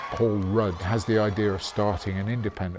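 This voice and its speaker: In a British accent, the speaker keeps a monotone, flat intonation at a moderate pace with music in the background. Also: man. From Britain. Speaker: rock musician. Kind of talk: documentary interview.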